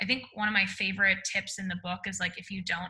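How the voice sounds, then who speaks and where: With ordinary pitch variation and a medium pitch, this woman has a plain, everyday voice. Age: 20s. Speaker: author and speaker. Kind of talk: interview conversation.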